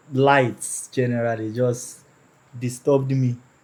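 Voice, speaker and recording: Speaking at a fairly slow pace, a man with a Nigerian accent talks at a medium pitch. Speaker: person with albinism sharing his story. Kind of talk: personal storytelling in interview.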